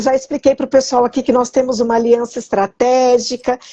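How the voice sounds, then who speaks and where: This woman's voice has a dark, mellow tone and a high pitch, recorded with a dry, close sound and no echo. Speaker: citizenship consultant. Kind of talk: live interview. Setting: online live stream.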